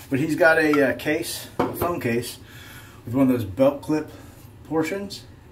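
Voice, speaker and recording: A man's medium-pitched voice with lively intonation at a fairly quick pace, amid noticeable background noise and audible room echo. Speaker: shaving video creator. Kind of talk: casual vlog chat. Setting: home bathroom.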